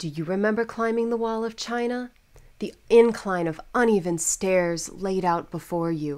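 A woman talks at a moderate pace with ordinary pitch variation in an ordinary speaking voice. The recording is very clean, with a silent background. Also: medium pitch for a woman. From United States. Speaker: voice actor. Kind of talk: TV commercial read.

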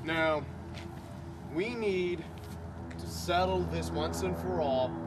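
A man at a very slow pace, with music in the background. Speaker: comedy sketch actor. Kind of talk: acted comedic monologue. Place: open country. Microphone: camera far.

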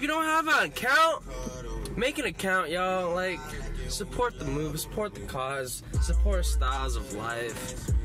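A fairly slow pace over faint music in the background. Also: man. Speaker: vlogger. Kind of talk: casual vlog chat. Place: car. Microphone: phone near.

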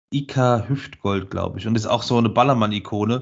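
At a moderate pace, a man with an ordinary speaking voice talks at medium pitch with fairly even intonation, the background quiet. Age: 40s. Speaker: podcast co-host. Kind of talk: casual chat. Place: home room.

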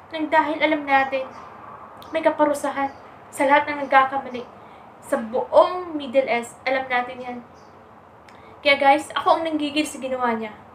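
Audible room echo surrounds a woman's high-pitched voice. She talks at a moderate pace with ordinary pitch variation.

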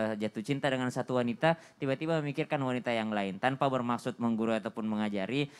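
This is a man's voice at a medium pitch. Its pitch variation is ordinary. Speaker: Islamic preacher. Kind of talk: religious TV talk show. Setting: studio. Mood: earnest, advising. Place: studio. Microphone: handheld.

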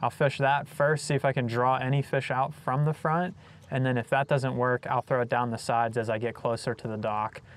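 At a fairly quick pace, a man talks with fairly even intonation in a dry recording with no echo. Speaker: fishing channel host. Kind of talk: casual vlog chat. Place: boat.

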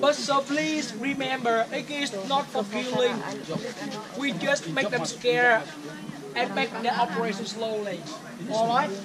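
Loud background noise runs under the speech. The pace is fairly slow, with long, frequent pauses. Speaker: tour guide. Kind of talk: tour guide explanation. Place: forest. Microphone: camera far.

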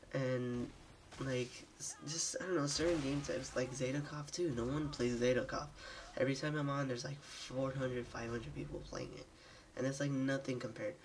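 The talk moves at a fairly quick pace with music in the background. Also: man, medium pitch for a man, fairly even intonation. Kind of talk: gameplay commentary. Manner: casual, hesitant.

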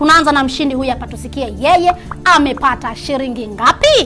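Clear music in the background behind a woman's moderate pace. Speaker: promotional show co-host. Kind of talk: presenter announcement. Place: studio.

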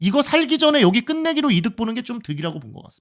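Very fast and animated in tone, a man talks with very wide pitch swings. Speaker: Go (baduk) commentator. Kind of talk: live game commentary.

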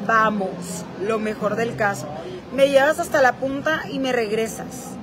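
Over crowd noise in the background, a woman talks at a fairly slow pace with ordinary pitch variation. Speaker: influencer streaming live. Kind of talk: casual vlog chat. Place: hall. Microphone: phone near.

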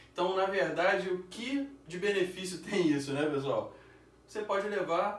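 A high-pitched man at a fairly slow pace, with ordinary pitch variation and audible room echo. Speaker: beer channel host. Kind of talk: casual sponsor plug. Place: home room. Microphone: camera far.

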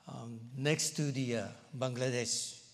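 A man speaks with a Japanese accent. His pace is very slow. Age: 60s. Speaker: pastor. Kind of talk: sermon. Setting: church. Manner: halting, many fillers. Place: church. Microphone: lapel.

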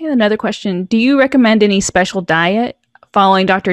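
A woman talks at a fairly quick pace with ordinary pitch variation. The sound is dry with no echo, against a quiet background. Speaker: patient advocacy webinar host; webinar moderator reading audience questions. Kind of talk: webinar moderation. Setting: video call webinar. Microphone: video call.

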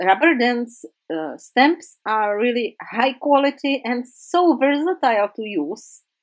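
Speaking at a very slow pace, the woman has a high-pitched voice. She talks with a non-native accent. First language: not English. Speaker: craft YouTuber. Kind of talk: tutorial. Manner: halting.

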